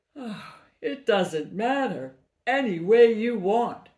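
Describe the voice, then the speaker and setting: In a put-on character voice, a woman speaks at a very slow pace. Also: fairly high pitch for a woman. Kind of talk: children's storytelling. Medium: read story. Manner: eager, breathy exclamations starting with "oh".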